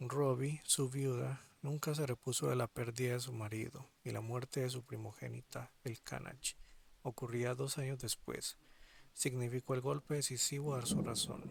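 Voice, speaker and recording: A man speaks softly at a fairly slow pace. His voice is somewhat breathy. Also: medium pitch for a man, fairly even intonation. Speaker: audiobook reader. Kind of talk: reading aloud. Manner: soft-spoken.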